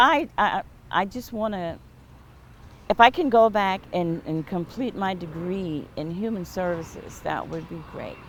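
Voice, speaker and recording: With an unremarkable speaking voice, a woman of medium pitch talks at a fairly slow pace, with ordinary pitch variation and big swings in loudness. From US South, James Island, South Carolina. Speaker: interviewee, local community member. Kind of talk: oral history interview.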